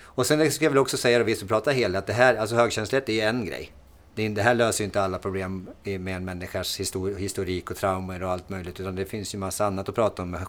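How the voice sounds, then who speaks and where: Speaking very fast with a Norrland accent, a man has a fairly low pitch and ordinary pitch variation. The recording is very clean, with a silent background. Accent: Norrland dialect (Timrå). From Sweden, Timrå (Medelpad, Norrland). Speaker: podcast host, fitness coach. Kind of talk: casual chat.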